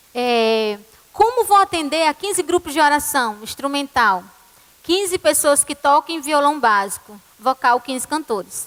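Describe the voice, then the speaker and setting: In a dry, close recording with no echo, a woman with a high pitch talks at a fairly slow pace with very wide pitch swings. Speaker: church music ministry leader. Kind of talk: conference talk.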